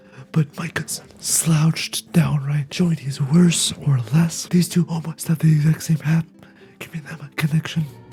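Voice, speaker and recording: The talking proceeds at a moderate pace while music sounds in the background. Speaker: video game commentator. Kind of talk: reaction video commentary.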